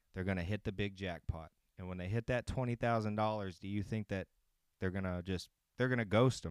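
A man with a normal speaking voice talks at a fairly quick pace, fairly low in pitch and with fairly even intonation. The sound is dry and close with no echo, on a very clean recording with a silent background. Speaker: sports betting picks host. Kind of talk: casual chat. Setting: home recording, live streamed. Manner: casual, relaxed.

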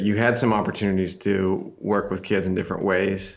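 A man speaks in an ordinary speaking voice. His pitch is fairly low, and his pace is moderate. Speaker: podcast host. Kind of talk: casual interview. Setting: studio, in person at microphones.

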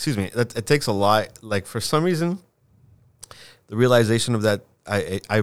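The recording is very clean with a silent background, as a man speaks with a Southern Californian accent. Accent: Southern Californian American. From Southern California, eastern LA area (Covina), born in Lima, Peru. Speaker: infrastructure designer and show promoter. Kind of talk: casual chat. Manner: halting, many fillers and restarts.

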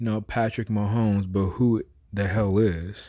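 A man's fairly low, dark, mellow voice with an American accent, fairly even intonation and a fairly slow pace, on a very clean recording with a silent background. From US West Coast, San Francisco Bay Area. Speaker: sports podcast co-host. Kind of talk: casual chat.

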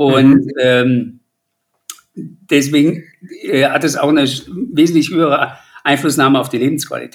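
A man with a fairly high voice speaks fairly slowly, leaving long, frequent pauses. His intonation stays fairly even. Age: 50s. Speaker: patient advocate with rare lung disease. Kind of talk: interview.

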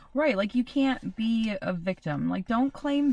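A woman with lively intonation talks fairly slowly amid noticeable background noise. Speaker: podcast co-host (daughter). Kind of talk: casual chat.

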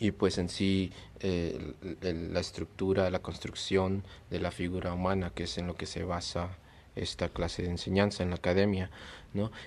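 On a very clean recording with a silent background, the speaker talks at a moderate pace in a flat monotone. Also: man, very deep, low pitch for a man. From Peru, then USA from age 10. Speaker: visual artist. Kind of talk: casual interview. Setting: late-night chat over beers.

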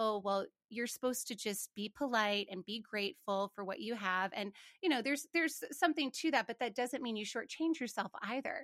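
A woman with a normal speaking voice and an American accent speaks at a moderate pace and a fairly high pitch, on a dry, close, very clean recording with no echo and a silent background. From Montana, US. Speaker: finance professional and podcast host. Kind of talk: interview conversation.

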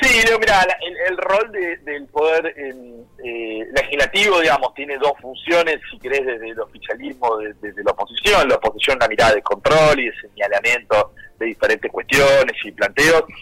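A man speaks at a moderate pace with big swings in loudness and hardly any pauses. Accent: Argentine. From Argentina, Buenos Aires province. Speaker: politician. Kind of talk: radio interview. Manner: halting, many repetitions.

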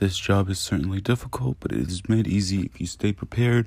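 A man talks in a normal speaking voice with an American accent. His pitch is fairly low and his pace fairly quick. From Virginia (Newport News). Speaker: emergency medical technician. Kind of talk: scripted podcast intro monologue. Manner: formal.

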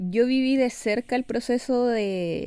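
A woman's dark, mellow tone with a Chilean accent and ordinary pitch variation. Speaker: podcast co-host. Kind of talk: casual interview.

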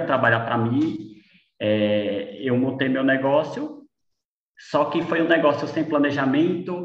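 In an ordinary speaking voice, a man talks at a fairly slow pace with medium pitch and ordinary pitch variation. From Brazil, Sergipe (Lagarto). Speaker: architect and business owner. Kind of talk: casual chat.

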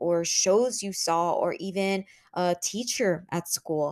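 The sound is dry and close, with no echo. A woman with a Spanish accent speaks at medium pitch with ordinary pitch variation. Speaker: podcast host. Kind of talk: solo podcast monologue. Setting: home office. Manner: casual, conversational.

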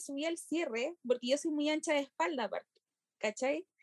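A woman with a Chilean accent and high pitch, at a fairly quick pace with ordinary pitch variation, in a dry, close sound with no echo. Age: 20s. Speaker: university student. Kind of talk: casual chat.

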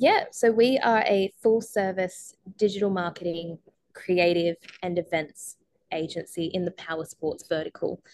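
Recorded dry and close with no echo, a woman with a normal speaking voice talks at a fairly slow pace with medium pitch and ordinary pitch variation. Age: 20s. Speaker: motorcycle racing team founder and marketing agency owner. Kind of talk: podcast interview.

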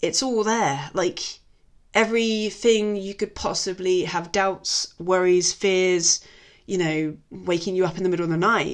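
Speaking in an English accent, a woman keeps a medium pitch and fairly even intonation at a fairly slow pace. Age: 30s. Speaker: podcast host. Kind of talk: casual film review monologue. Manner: chatty, many fillers.

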